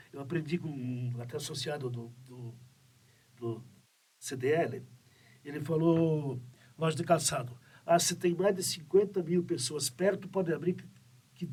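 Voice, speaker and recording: A man speaks at a fairly high pitch, with ordinary pitch variation and a somewhat breathy quality. His pace is fairly slow, broken by long, frequent pauses. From Santa Catarina, southern Brazil. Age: 70s. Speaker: business owner. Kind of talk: interview podcast. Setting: studio. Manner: halting, with many fillers.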